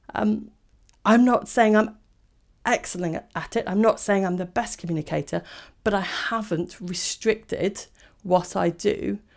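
A woman's voice with vocal fry and ordinary pitch variation, on a very clean recording with a silent background. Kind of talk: podcast monologue, informative talk.

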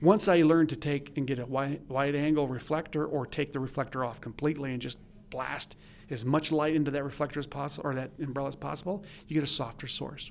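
Talking at a very fast pace, the man has a fairly high pitch and fairly even intonation. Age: 60s. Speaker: commercial photographer and educator. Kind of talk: interview.

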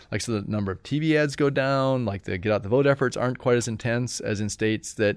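In an American accent, the speaker races at a very fast pace with ordinary pitch variation against a quiet background. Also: man. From Indiana, US Midwest. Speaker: political science professor. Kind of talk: interview conversation.

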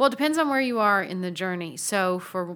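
A woman talks at a fairly quick pace in a medium pitch. Hers is a plain, everyday voice. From US South, Tennessee. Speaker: Episcopal priest, nonprofit founder. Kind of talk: interview conversation.

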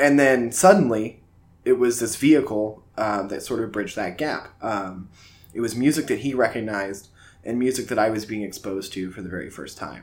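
Using a normal speaking voice, a man talks at a fairly quick pace with medium pitch, ordinary pitch variation and big swings in loudness. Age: 20s. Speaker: podcast host. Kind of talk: casual chat.

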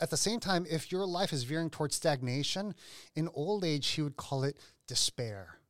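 Using a plain, everyday voice, a man talks at a moderate pace with a fairly high pitch, lively intonation and very even loudness. The recording is very clean, with a silent background and a dry, close sound with no echo. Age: 40s. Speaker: lead pastor. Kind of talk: casual chat.

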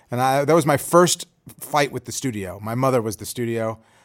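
A man with an American accent, medium in pitch, at a very fast pace. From Chicago, US Midwest. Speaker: film director and screenwriter. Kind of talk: interview. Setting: room at a film school.

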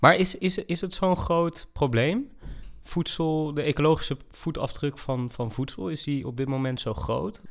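A man with a fairly high voice and lively intonation, at a fairly slow pace, on a very clean recording with a silent background. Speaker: podcast co-host, recent graduate. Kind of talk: casual podcast chat. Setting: indoors at a table.

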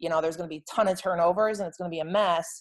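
Against a quiet background, a woman with an American accent uses a plain, everyday voice, fairly low in pitch with fairly even intonation. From Rochester, New York. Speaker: lacrosse head coach. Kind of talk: casual interview.

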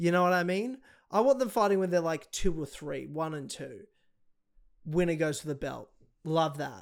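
With an Australian accent, a man talks at a moderate pace in a high pitch and lively intonation, leaving long, frequent pauses on a very clean recording with a silent background. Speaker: podcast host. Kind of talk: casual chat about MMA.

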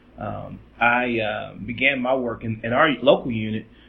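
A man's medium-pitched voice in monotone, flat intonation, with noticeable background noise. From Lexington, Kentucky. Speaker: preacher and civil rights leader. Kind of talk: interview. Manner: halting, many fillers.

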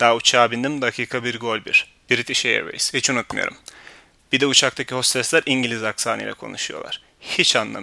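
At a moderate pace, a man speaks in a dry, close sound with no echo. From Turkey. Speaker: podcast host. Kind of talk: personal storytelling monologue.

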